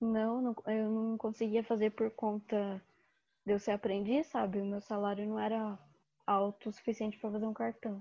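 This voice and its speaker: With long, frequent pauses, a woman talks in a fairly high pitch and a monotone, flat intonation. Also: moderate pace. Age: 20s. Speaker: design student. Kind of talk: casual chat.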